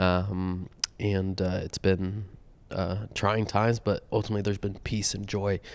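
Recorded very cleanly with a silent background, a man with a fairly low pitch talks at a fairly slow pace. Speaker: vet clinic worker and pastor's kid. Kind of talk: casual roundtable chat. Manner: hesitant, many fillers.

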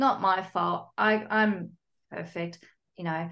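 A woman with an Australian accent talks at a moderate pace. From Sydney, Australia. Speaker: psychologist and divorce coach. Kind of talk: interview.

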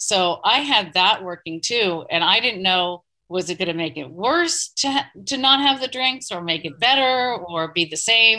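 In an American accent, this unremarkable speaking voice carries lively intonation on a very clean recording with a silent background. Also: woman. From US East Coast. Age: 50s. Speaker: marketing professional and mother in recovery. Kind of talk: interview. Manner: candid, conversational.

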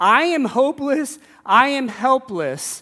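In a very clean recording with a silent background, a man's raised, projected voice has a bright, sharp tone, an animated delivery and very wide pitch swings. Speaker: preacher. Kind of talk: sermon to a live congregation, scripture reading then preaching. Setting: church. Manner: animated, conversational, humorous, with audience call-and-response.

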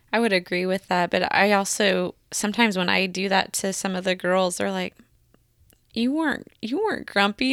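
At a fairly quick pace, a woman talks in a normal speaking voice, medium in pitch with fairly even intonation. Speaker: podcast host. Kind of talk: casual conversational podcast.

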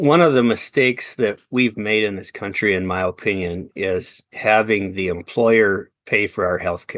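With a Wisconsin accent, a man speaks fairly slowly in a fairly low voice against a quiet background. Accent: Upper Midwest (Wisconsin). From central Wisconsin. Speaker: entrepreneur and real estate investor. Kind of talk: interview.

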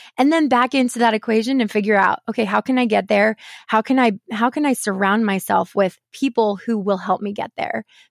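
A woman's plain, everyday voice, fairly high in pitch, fairly quick with hardly any pauses, ordinary pitch variation, a dry, close sound with no echo, and a very clean recording over a silent background. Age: 30s. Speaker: mortgage professional and podcast host, former voice teacher. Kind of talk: interview.

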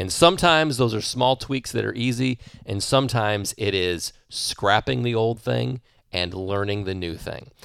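An ordinary speaking voice moves at a fairly slow pace with lively intonation on a very clean recording with a silent background. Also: man. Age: 40s. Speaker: business and performance coach. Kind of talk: solo podcast monologue. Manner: conversational with fillers and repetitions.

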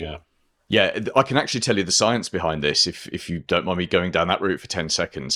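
This man has a very deep, low pitch, a bright, sharp tone and lively intonation at a fairly quick pace. The recording is very clean, with a silent background. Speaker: marketing consultant and podcaster. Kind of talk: casual interview.

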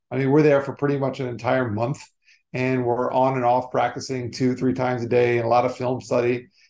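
A man talks at a fairly quick pace with an American accent. His medium pitch holds a monotone, flat intonation. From South Florida. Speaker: motivational speaker on generosity. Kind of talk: interview.

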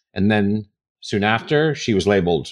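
A man speaks with an American accent and lively intonation. Behind him, the background is quiet. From New York City. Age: 50s. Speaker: podcast host, author and speaker. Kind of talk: monologue on personal news; interview.

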